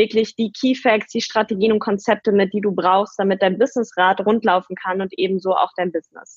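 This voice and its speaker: A woman with a plain, everyday voice speaks at a moderate pace, her fairly high pitch showing ordinary pitch variation. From Germany, near Paderborn (East Westphalia). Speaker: entrepreneur and podcaster. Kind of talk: interview.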